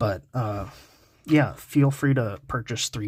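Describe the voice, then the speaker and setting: Somewhat breathy and very slow, a man speaks on a very clean recording with a silent background. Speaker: card game YouTuber. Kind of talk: tutorial. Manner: monotone; halting, many filler words.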